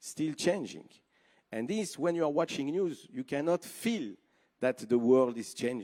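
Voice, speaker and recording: Lively intonation and a dark, mellow tone mark this voice with a French accent. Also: man. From Switzerland. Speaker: TV network executive. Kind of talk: conference speech. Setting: stage with audience.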